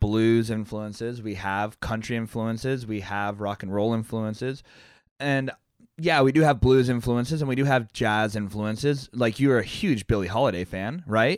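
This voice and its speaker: A man keeps a moderate tempo in a medium pitch that varies in an ordinary way. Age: 30s. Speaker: podcast co-host and musician. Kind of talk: casual chat. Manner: animated.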